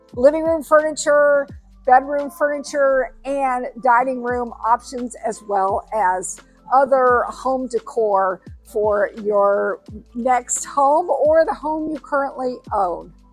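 Faint music plays behind a woman with a high pitch. She speaks at a very slow pace. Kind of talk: promotional vlog walkthrough. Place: shop. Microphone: lapel.

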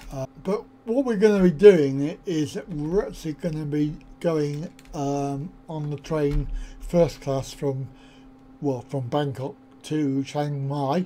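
With a dark, mellow tone, a man talks at a slow pace in a fairly high pitch, his intonation fairly even.

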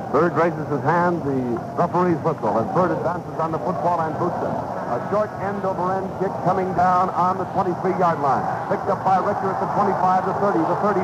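Loud background noise surrounds this recording. Through it, a man speaks with ordinary pitch variation. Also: moderate pace. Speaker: radio play-by-play announcer. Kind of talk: sports commentary. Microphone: old recording.

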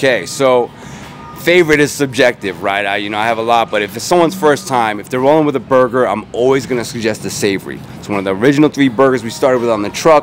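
Music plays in the background. A man talks at a very fast pace with lively intonation. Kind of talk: interview answer. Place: street. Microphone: handheld.

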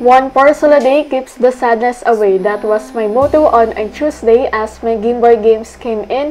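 With a Filipino accent, a woman talks at a moderate pace and high pitch with ordinary pitch variation and hardly any pauses, over noticeable background noise. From Philippines. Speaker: optometry student. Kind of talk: vlog voice-over narration.

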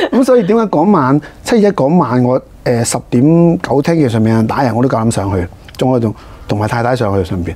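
A man's dark, mellow voice at a fairly quick pace, with very wide pitch swings. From Hong Kong. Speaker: district councillor, politician; council guest. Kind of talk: interview. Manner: halting, many fillers. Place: studio. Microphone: lapel.

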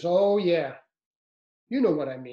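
Someone puts on a gruff character voice at a middle pitch. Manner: tough, gruff, knowing.

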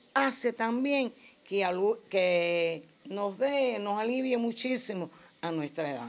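Against a quiet background, a woman speaks at a very slow pace. Her pitch varies in an ordinary way. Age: 70s. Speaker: craft group member. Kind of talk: interview.

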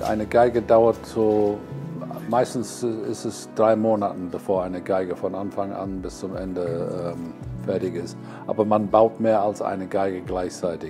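Over music in the background, a man with a fairly low pitch talks at a fairly slow pace with ordinary pitch variation. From England. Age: 70s. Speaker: violin maker. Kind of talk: interview answer.

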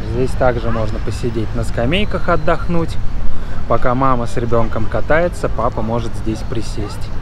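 A man at a moderate pace with long, frequent pauses, dry sound with no echo, and noticeable background noise. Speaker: travel vlogger. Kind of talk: casual vlog chat. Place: street. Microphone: phone near.

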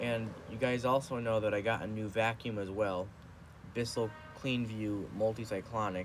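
With music in the background, a man speaks in fairly even intonation. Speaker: vlogger. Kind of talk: casual vlog chat. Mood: relaxed, some complaining. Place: home room. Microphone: phone near.

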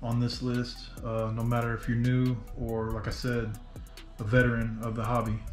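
Faint music plays in the background as a man speaks at a moderate pace. His intonation is monotone and flat, with audible room echo. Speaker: RC hobby vlogger. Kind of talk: casual vlog chat. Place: home room.

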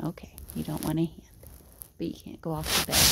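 Background noise is noticeable throughout. The talking proceeds at a moderate pace. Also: woman. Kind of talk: talking to a pet. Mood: soft, affectionate, teasing. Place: home room. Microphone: phone near.

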